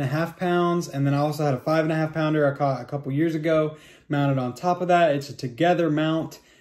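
The man's intonation stays monotone and flat, with a quiet background behind him. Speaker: fishing vlogger. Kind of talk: casual vlog chat. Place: home room. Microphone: phone near.

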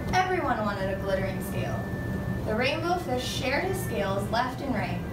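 The speech moves at a fairly quick pace. Loud background noise is present throughout. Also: woman. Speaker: student teacher reading aloud. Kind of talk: storybook read-aloud. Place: classroom. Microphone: camera far.

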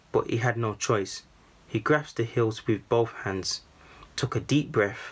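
The speaker uses an unforced reading voice.

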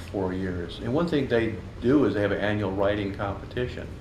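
At a fairly quick pace, a man with a fairly low pitch and ordinary pitch variation talks over light background noise and audible room echo. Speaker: guest. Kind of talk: interview answer. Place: shop.

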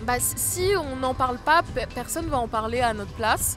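The recording is dry with no echo, and music plays clearly in the background. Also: woman. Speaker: singer-songwriter. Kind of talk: interview answer. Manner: casual, hesitant. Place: open country. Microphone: handheld.

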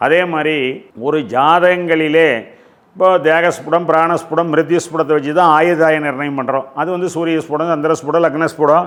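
A man speaks at a fairly high pitch in a monotone, flat manner. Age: 60s. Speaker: astrologer. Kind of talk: lecture.

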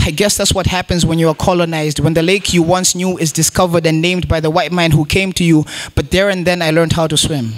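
A high-pitched man at a fairly quick pace with fairly even intonation, quiet background. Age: young. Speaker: poet. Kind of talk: spoken word performance. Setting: stage with audience. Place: stage. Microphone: handheld.

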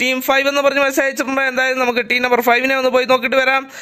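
A man's extremely high, bright and sharp voice, raised and projected, with monotone, flat intonation. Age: 20s. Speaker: gaming streamer and match commentator. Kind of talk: live commentary.

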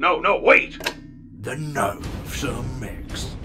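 A man performs in a put-on character voice at a fairly slow pace. Clear music plays in the background. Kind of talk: comic dub.

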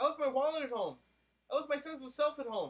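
A man talks at a very fast pace. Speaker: comedian. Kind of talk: absurdist comedic poem read aloud, spoken word parody. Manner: repetitive incantatory rhythm. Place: home room. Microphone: webcam.

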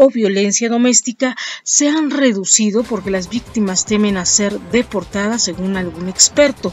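Faint music plays in the background as a woman speaks at a moderate pace with ordinary pitch variation, in a dry sound with no echo. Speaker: news host. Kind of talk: news reading. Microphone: webcam.

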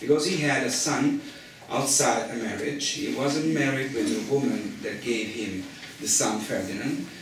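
A man with an Italian accent speaks at a fairly slow pace, fairly high in pitch with lively intonation. Audible room echo and light background noise surround him. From Rome, Italy; Italy. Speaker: media company founder; speaker. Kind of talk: panel talk. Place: meeting room. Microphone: camera far.

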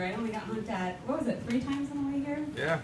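A woman talks at a fairly quick pace with lively intonation. Noticeable background noise sits behind her. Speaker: stand-up comedian. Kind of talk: stand-up comedy routine. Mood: nervous but playful. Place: bar.

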